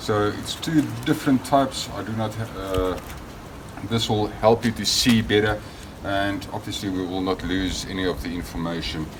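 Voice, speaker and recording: A man with a South African accent speaks at a moderate pace in a fairly low voice. The recording has noticeable background noise and audible room echo. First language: Afrikaans. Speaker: product maker demonstrating gear. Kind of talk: tutorial. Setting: outdoors in backyard garden. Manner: hesitant with fillers.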